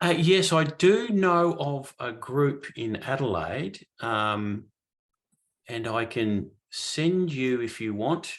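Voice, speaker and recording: A man with an Australian accent at a very slow pace, medium in pitch, with very wide pitch swings. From southern Australia, country area. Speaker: guest speaker on spiritual teachings. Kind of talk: Q&A discussion.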